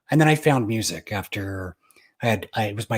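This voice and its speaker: Speaking at a fairly quick pace with an American accent, a man uses a fairly low, somewhat breathy voice with ordinary pitch variation, recorded very cleanly in a dry, close sound with no echo over a silent background. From Utah. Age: 40s. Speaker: pianist. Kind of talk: interview.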